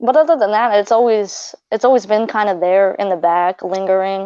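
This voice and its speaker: Speaking at a moderate pace, a woman with a slight non-native accent uses a medium pitch and ordinary pitch variation. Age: 20s. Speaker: practicing pagan. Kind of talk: casual interview. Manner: halting.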